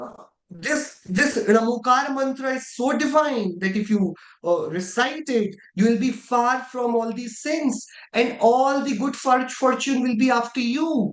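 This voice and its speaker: Someone with an Indian accent speaks at a fairly slow pace. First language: Indian language. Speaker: religious studies teacher. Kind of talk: online class lecture.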